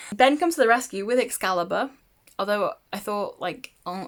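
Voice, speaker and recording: Lively in intonation, a woman speaks at a moderate pace and a medium pitch. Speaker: book vlogger. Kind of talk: casual chat. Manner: hesitant, many fillers.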